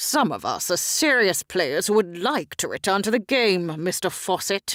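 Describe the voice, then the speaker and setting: Using a put-on character voice, a woman speaks at a medium pitch and a moderate pace with lively intonation. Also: dry, close sound with no echo. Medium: read story. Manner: gruff, haughty.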